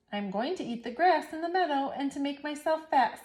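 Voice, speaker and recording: Using a put-on character voice, a woman speaks at a fairly quick pace in a high pitch. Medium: read story. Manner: chatty, self-satisfied.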